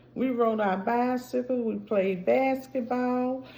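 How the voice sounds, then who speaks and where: Speaking at a very slow pace, a woman has a high pitch and a dark, mellow tone. Audible room echo surrounds her voice. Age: 60s. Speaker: vlogger. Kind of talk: casual chat.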